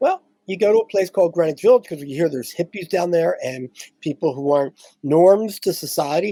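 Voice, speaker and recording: With an American accent and a dark, mellow tone, the speech moves at a fairly quick pace in a dry, close sound with no echo. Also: man. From US Northeast, Philadelphia. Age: 70s. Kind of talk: interview.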